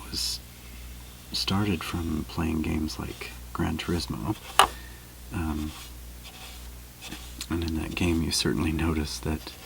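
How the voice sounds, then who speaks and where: A soft-spoken man whispering at a very slow pace, with long, frequent pauses and noticeable background noise. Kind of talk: ASMR soft-spoken chit chat. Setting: close boom microphone, studio-like. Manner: soft-spoken, whispered.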